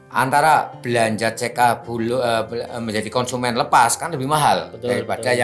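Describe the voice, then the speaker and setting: A man with a Banyumasan accent at medium pitch, ordinary pitch variation, and music in the background. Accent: Banyumasan (ngapak) Javanese. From Cilacap, Central Java, Indonesia. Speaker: retired state electricity company employee and network marketing seller. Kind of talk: interview answer.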